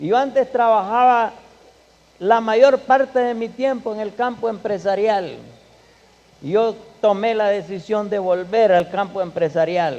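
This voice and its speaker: Speaking at a fairly slow pace with long, frequent pauses, a man has a high voice and ordinary pitch variation. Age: 60s. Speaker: guest speaker at a church. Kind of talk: church conference talk. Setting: church.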